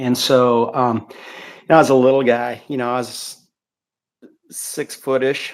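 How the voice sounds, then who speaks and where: A man with an American accent talks fairly slowly at a medium pitch with monotone, flat intonation. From Missouri, US Midwest. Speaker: former bike racer. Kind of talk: interview. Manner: halting.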